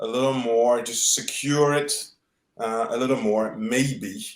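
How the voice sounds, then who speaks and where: A man talks with a French accent. His pace is fairly slow, and room echo is audible. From French Guiana. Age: 40s. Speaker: tennis journalist. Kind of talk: podcast interview. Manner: halting, many fillers and repeats.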